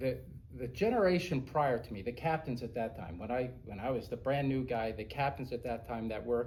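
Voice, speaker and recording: His speaking pace is fairly quick. The man's voice has a somewhat breathy quality. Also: medium pitch for a man, ordinary pitch variation. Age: 60s. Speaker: airline pilot. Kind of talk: interview.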